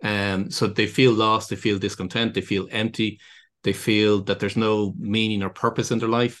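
A man talks with a Dublin accent. His pace is fairly quick. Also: quiet background. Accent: Irish (Dublin). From Ireland, County Dublin. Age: 50s. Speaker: business consultant. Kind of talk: interview.

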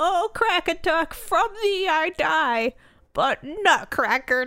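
A woman puts on a squeaky character voice. She speaks at a fairly slow pace. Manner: piteous, pained, cursing.

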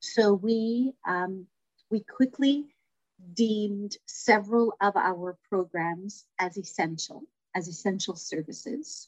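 A woman with a Toronto accent, a fairly high pitch and lively intonation, somewhat breathy, at a very slow pace, in a dry, close sound with no echo. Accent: Canadian (Toronto). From Toronto, Little Italy. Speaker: community services director. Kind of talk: interview.

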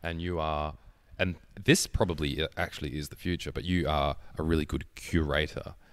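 In a very clean recording with a silent background, a man with an Australian accent talks at a fairly quick pace. His pitch is very deep and low, and his intonation is fairly even. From Tasmania, Australia (Hobart). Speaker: podcast host, gamer and model. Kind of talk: casual chat.

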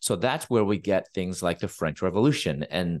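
An unremarkable speaking voice with ordinary pitch variation is heard over a quiet background. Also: man. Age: 50s. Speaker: pastor, Bible professor and author. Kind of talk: interview.

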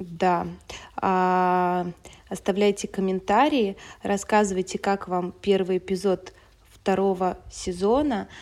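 A woman delivers her words at a very slow pace and with fairly even intonation, on a very clean recording with a silent background. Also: medium pitch for a woman. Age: 30s. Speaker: podcast co-host. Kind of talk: casual chat. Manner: hesitant, many fillers.

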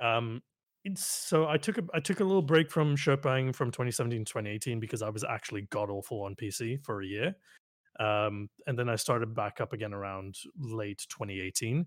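In an ordinary speaking voice, a man talks fairly quickly at medium pitch with lively intonation, the sound dry and close with no echo on a very clean recording with a silent background. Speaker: gamer and streamer. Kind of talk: casual chat. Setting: voice call stream.

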